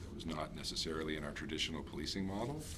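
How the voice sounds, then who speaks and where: Speaking with a Canadian accent and fairly even intonation, a man is heard over noticeable background noise, with audible room echo. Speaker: police officer presenting to council. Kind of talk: presentation to town council. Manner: fast.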